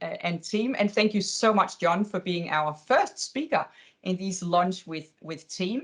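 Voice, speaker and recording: A woman talks at a fairly slow pace. Her pitch rises and falls in an ordinary way. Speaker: webinar host. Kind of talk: webinar wrap-up.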